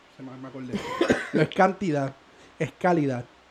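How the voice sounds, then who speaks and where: Over noticeable background noise, a man sounds animated, his intonation lively. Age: 20s. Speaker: podcast co-host. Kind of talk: casual chat.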